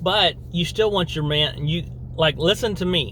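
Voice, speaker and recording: A man's speech has lively intonation and a moderate tempo. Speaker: video blogger. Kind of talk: opinion monologue. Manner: animated, repetitive.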